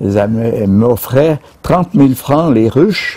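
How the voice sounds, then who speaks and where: A man with a medium pitch and a dark, mellow tone speaks very slowly, his pitch swinging very widely, in a dry recording with no echo and a quiet background. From Switzerland. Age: 90s. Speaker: retired beekeeper. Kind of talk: casual interview. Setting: outdoors at his beehives, on camera. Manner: halting, repeats words. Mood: relaxed, smiling. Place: garden.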